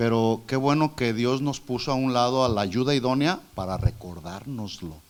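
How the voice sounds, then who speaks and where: Audible room echo surrounds a man's medium-pitched voice. He talks at a moderate pace with ordinary pitch variation. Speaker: preacher. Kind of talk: sermon. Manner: loud.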